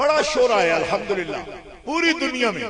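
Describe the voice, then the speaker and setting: A raised, projected voice with lively intonation, audible room echo and noticeable background noise. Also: man. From Pakistan, Punjab (Mandi Bahauddin, Gujrat area). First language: Punjabi (speaking Hindi). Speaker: Islamic scholar. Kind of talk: religious speech. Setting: conference with audience.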